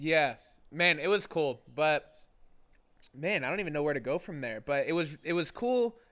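Speaking with an American accent at a moderate pace, a man with a fairly high pitch and lively intonation leaves long, frequent pauses in a very clean recording with a silent background. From Oklahoma, US. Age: 20s. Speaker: YouTuber and home renovation creator. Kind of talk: casual chat.

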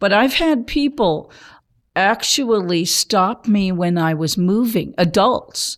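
Very slow delivery with lively intonation and very even loudness, on a very clean recording with a silent background. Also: woman, medium pitch for a woman. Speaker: blind churchgoer. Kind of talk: casual chat. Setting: studio. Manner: halting.

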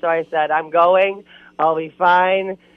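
A woman speaks with an Upper Midwest accent in a fairly low pitch. Her intonation is monotone and flat. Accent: Upper Midwest American. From Wisconsin. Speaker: outdoor TV show host. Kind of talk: casual interview. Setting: phone call.

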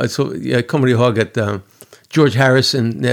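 The man's voice sits at a middle pitch and varies in pitch by an ordinary amount. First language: English (speaking Swedish). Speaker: musician. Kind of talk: interview. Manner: halting.

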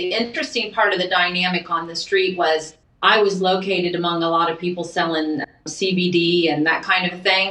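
A woman talks at a moderate pace with a fairly low pitch. Noticeable background noise runs underneath. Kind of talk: casual chat.

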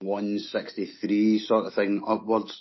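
A man with a Scottish accent and a fairly low pitch. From Scotland. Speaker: guest, mod and northern soul fan. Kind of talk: casual chat.

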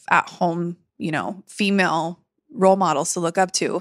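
Dry and close with no echo, a woman's fairly low voice with an American accent comes across flat and monotone. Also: very clean recording, silent background. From San Diego, California. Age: 40s. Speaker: beauty industry coach and podcast host. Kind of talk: casual interview.

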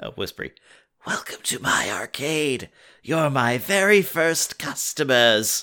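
On a very clean recording with a silent background, a man whispers very slowly in a put-on character voice.

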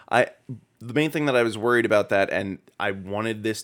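On a very clean recording with a silent background, a man with a plain, everyday voice speaks at a fairly quick pace and medium pitch with ordinary pitch variation. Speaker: podcast co-host. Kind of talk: casual worldbuilding chat.

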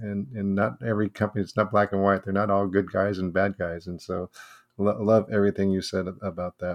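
Against a quiet background, a man speaks in a normal speaking voice, fairly low in pitch, at a moderate pace. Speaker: podcast co-host. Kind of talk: podcast interview.

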